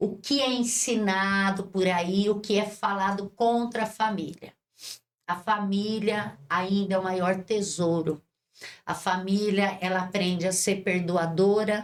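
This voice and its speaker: A woman speaks at a very slow pace and medium pitch, her intonation fairly even and her loudness very even. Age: 60s. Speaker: bishop and social project leader. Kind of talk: interview. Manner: impassioned, preacher-like.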